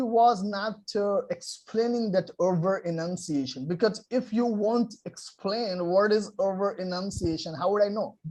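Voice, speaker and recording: Speaking with a non-native accent, a man with a high pitch goes at a fairly slow pace with hardly any pauses and ordinary pitch variation. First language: non-native English speaker. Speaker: English learner and channel host. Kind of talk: interviewer in conversation.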